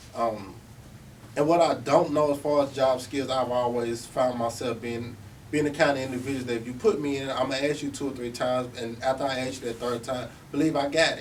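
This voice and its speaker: Audible room echo surrounds a man speaking at a fairly quick pace. His pitch is medium. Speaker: formerly incarcerated speaker. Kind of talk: talk to service providers. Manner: animated.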